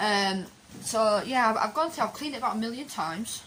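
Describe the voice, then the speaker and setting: A woman pitched fairly high talks with ordinary pitch variation while noticeable background noise plays behind her. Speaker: campervan DIY vlogger. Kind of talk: casual vlog update. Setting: outdoors in a van. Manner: quiet. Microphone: too quiet, mic partly covered.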